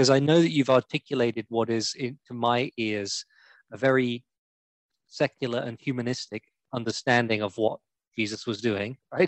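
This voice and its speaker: Here is a man with an ordinary speaking voice at a medium pitch. He keeps a moderate pace and fairly even intonation. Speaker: co-host. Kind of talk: casual interview chat.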